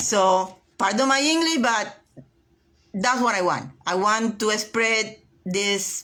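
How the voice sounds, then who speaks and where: Speaking at a very slow pace with a non-native accent, a woman uses lively intonation and a bright, sharp tone at a fairly high pitch. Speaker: realtor reading a self-help book. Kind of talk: reading aloud and casual livestream talk. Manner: hesitant, many fillers and repetitions; enthusiastic.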